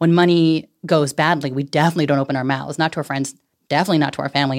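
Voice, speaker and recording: A woman with a Californian accent speaks at a very fast pace with a very deep, low pitch and vocal fry, in a very clean recording with a silent background. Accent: Californian American. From San Francisco Bay Area, California. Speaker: personal finance educator. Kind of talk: casual chat. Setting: studio. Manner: animated.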